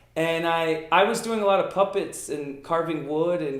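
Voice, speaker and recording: A man with a fairly high voice speaks in a room with audible echo and noticeable background noise. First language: Italian. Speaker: magician. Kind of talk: interview. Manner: casual, frequent fillers.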